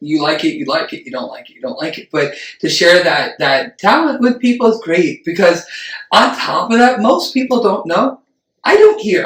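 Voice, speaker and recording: The voice has an animated tone and moves at a fairly quick pace. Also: man. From Puerto Rican family. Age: 30s. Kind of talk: casual chat. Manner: loud.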